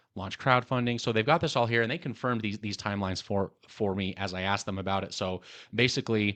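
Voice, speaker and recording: Against a quiet background, a man with a fairly low pitch speaks at a very fast pace. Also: ordinary pitch variation. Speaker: tech YouTuber. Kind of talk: casual video review with screen walkthrough. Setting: home recording in the evening. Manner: halting with many repeats.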